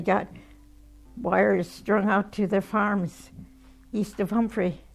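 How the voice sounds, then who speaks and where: Over music in the background, a woman with an American accent speaks very slowly at medium pitch with fairly even intonation. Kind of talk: interview answer. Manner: reminiscing, conversational.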